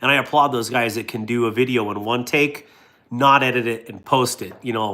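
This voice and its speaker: A man talks at a medium pitch with ordinary pitch variation, in a North Dakota accent. His tone is bright and sharp. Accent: North Dakota accent, Norwegian-sounding. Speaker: YouTuber reviewing products. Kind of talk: casual chat.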